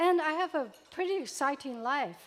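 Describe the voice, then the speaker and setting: At a fairly slow pace, a woman talks. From Taiwan. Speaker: eulogy speaker at a memorial. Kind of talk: memorial tribute speech. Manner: halting.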